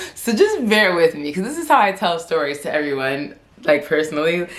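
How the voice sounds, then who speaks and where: Noticeable background noise sits behind a woman talking fairly quickly in a fairly low pitch. Her intonation is lively, and her loudness swings widely. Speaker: vlogger. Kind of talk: casual chat. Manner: stuttering.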